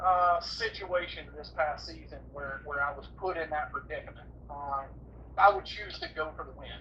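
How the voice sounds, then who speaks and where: With an American accent, the voice moves along at a moderate pace. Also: man. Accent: redneck. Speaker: professional bass angler. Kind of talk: casual interview chat. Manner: halting, many repeated words.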